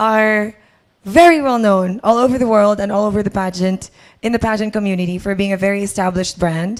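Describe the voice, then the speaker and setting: A woman's medium-pitched voice, with ordinary pitch variation, comes through on a very clean recording with a silent background. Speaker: pageant host. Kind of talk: event hosting.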